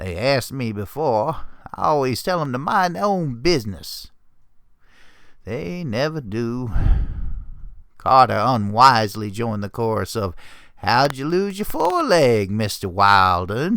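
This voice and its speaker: A man puts on a gruff character voice at a medium pitch, speaking at a fairly slow pace. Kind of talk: dramatic story reading.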